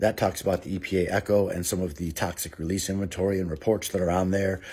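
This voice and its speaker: A man speaks at a very fast pace in a very deep, low pitch with monotone, flat intonation. His dark, mellow, somewhat breathy voice sits on a very clean recording with a silent background. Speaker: former city alderman. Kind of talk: direct-to-camera commentary.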